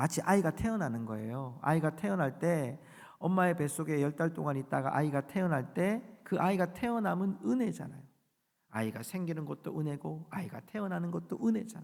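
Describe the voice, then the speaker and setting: On a very clean recording with a silent background, the speaker goes at a fairly quick pace. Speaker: pastor. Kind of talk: sermon. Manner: fast.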